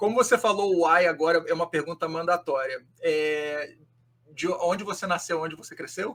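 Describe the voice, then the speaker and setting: A man speaks at a moderate pace in a high pitch with ordinary pitch variation. His loudness swings widely. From Rio de Janeiro, Brazil. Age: 40s. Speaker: podcast host. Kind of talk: podcast interview.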